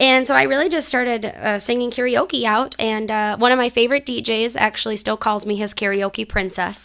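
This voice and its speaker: With an American accent and a bright, sharp tone, the speaker moves at a fairly quick pace with hardly any pauses and ordinary pitch variation. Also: woman, fairly high pitch for a woman. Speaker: country singer-songwriter. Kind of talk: radio interview.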